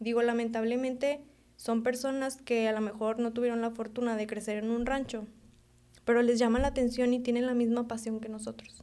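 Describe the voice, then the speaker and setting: Talking at a fairly quick pace, a woman keeps her fairly high voice in a flat monotone. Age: 20s. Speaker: veterinarian and young rancher. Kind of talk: casual chat.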